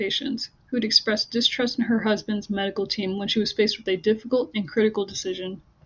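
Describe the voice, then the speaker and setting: Somewhat breathy and fairly high in pitch, a woman speaks with fairly even intonation. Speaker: university student. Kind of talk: class presentation. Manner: pausing.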